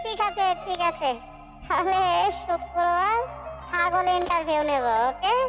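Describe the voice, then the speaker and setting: An extremely high, cartoonish character voice moves at a fairly slow pace. Clear music plays in the background. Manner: bossy, scolding.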